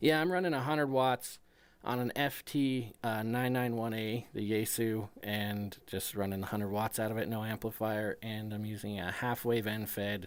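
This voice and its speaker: A man talks at a moderate pace with a medium pitch and ordinary pitch variation, in a normal speaking voice. The recording is very clean, with a silent background. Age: 40s. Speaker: amateur radio operator. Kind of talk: casual radio chat. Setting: ham radio transmission.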